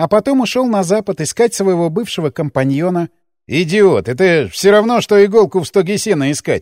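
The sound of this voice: Here is an unforced reading voice. Behind it the background is quiet.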